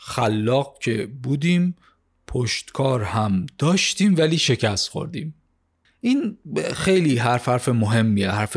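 On a very clean recording with a silent background, a man of medium pitch uses an ordinary speaking voice, talking at a fairly slow pace with lively intonation. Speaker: podcast host summarizing business books. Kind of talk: scripted narration of a book summary.

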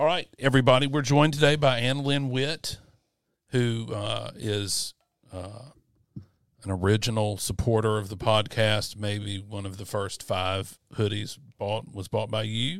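A man with a Mississippi accent talks fairly slowly at a medium pitch, with ordinary pitch variation and big swings in loudness. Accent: US Southern (Mississippi). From Mississippi (Yazoo City). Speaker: podcast host. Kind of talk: casual chat; scripted intro. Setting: studio.

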